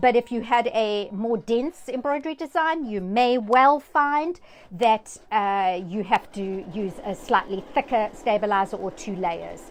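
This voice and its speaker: A woman speaks at a fairly slow pace with a fairly high pitch, lively intonation and hardly any pauses. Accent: South African. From South Africa. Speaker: sewing machine educator. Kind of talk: live-stream tutorial. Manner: hesitant with fillers.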